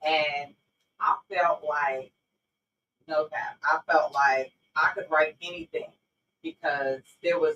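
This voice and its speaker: A woman with a New York accent speaks at a very slow pace, her pitch very deep and low. The sound is dry and close with no echo. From New York, Brownsville (Brooklyn). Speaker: author. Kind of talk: interview.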